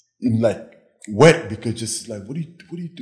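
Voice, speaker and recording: A man talks at a moderate pace and medium pitch. His voice is somewhat breathy, with lively intonation. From Senegal. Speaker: fitness trainer. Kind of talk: casual interview.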